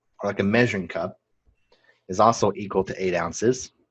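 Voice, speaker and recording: Over a quiet background, a man speaks at a fairly low pitch and moderate pace with ordinary pitch variation. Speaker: nursing instructor. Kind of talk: online class lecture.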